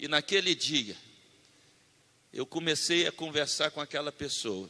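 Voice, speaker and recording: Delivered at a fairly slow pace, the bright, sharp tone shows vocal fry and ordinary pitch variation, with a dry, close sound and no echo. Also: man, fairly high pitch for a man. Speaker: preacher. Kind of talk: sermon.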